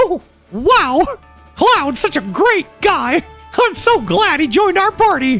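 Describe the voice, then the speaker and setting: This put-on character voice sits at an extremely high pitch. It moves at a fairly slow pace, with faint music in the background. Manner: cheerful, enthusiastic.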